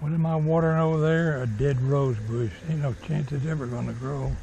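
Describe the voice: With a dark, mellow tone and vocal fry, a man speaks at a fairly quick pace and fairly even intonation. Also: fairly high pitch for a man.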